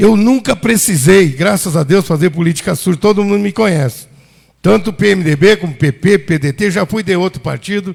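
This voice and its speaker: A man speaks with lively intonation. His voice is high in pitch. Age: 60s. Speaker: city councillor. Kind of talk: council floor speech. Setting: council chamber session. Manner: heated, indignant.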